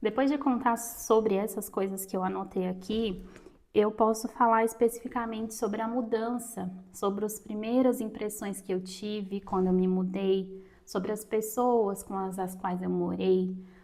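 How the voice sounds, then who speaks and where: A woman with an ordinary speaking voice talks at a fairly slow pace in a fairly high pitch with fairly even intonation. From Brazil, interior of Minas Gerais. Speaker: writing and reading content creator. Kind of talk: tutorial.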